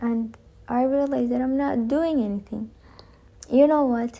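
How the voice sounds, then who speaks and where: This woman's voice has a dark, mellow tone and ordinary pitch variation. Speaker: amateur audiobook reader. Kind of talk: casual monologue. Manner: frequent pauses; halting.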